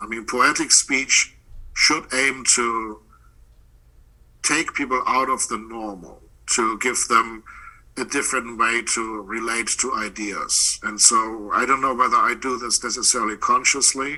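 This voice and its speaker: With a German accent, a man of medium pitch speaks at a fairly slow pace in a bright, sharp tone with fairly even intonation. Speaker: poet and professor. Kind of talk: interview.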